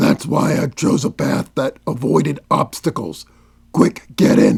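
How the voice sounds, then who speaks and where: Putting on a character voice, a man growls in a gruff, raspy tone at a fairly high pitch. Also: fairly slow pace. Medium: audio drama. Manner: terse, grave, commanding.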